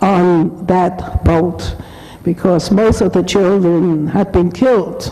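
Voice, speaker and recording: A woman with a German accent speaks over noticeable background noise. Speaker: Holocaust survivor speaker. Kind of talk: testimony.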